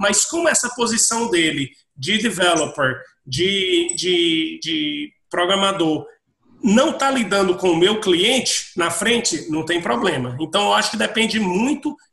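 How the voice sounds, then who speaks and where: Here is a man with a Brazilian accent and a high pitch. His pitch swings very widely. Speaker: IT professional working abroad. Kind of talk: panel discussion.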